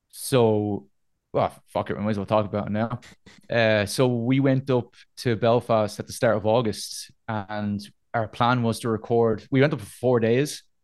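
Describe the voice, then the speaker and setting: A man with a Dublin accent speaks at a moderate pace in a medium pitch. His intonation is fairly even, and the background is quiet. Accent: Dublin Irish. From Dublin, Ireland (north side). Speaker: metal band vocalist. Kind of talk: casual interview chat. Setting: video call.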